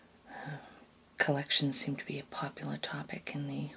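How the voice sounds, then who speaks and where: Soft-spoken, a woman uses a very deep, low voice with vocal fry at a moderate pace. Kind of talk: ASMR soft-spoken commentary.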